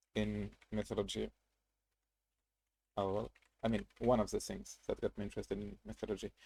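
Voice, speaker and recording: The speaker has a non-native accent and a fairly quick pace, broken by long, frequent pauses. The sound is dry and close, with no echo. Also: man. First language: not English. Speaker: gaming streamer. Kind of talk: casual live-stream commentary. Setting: live stream. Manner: halting, many fillers and restarts.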